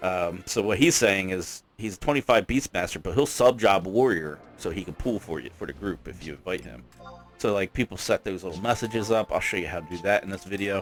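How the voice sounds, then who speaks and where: Over music in the background, a man with a fairly low voice talks at a fairly quick pace, with lively intonation and big swings in loudness. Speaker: gaming youtuber. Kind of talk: tutorial. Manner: fast; casual.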